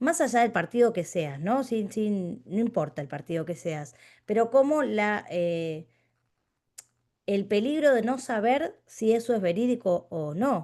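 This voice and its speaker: A woman's fairly high-pitched, dark and mellow voice with a Rioplatense accent, very wide pitch swings and a fairly slow pace, over a quiet background. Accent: Rioplatense Spanish (porteño). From Buenos Aires, Argentina. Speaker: philosophy teacher. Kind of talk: lecture. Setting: video call.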